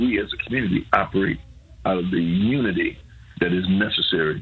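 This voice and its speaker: A man speaks against noticeable background noise. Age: 70s. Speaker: pastor. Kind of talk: radio interview. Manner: halting, many fillers and repeats.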